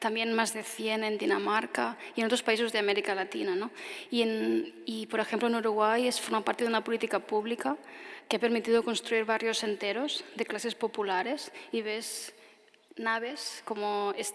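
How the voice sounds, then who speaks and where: Over noticeable background noise, a woman talks at a moderate pace. Her pitch is fairly high and her intonation fairly even. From Spain, Tarragona. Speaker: architect. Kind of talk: audience Q&A answer; lecture. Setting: stage with audience; outdoors.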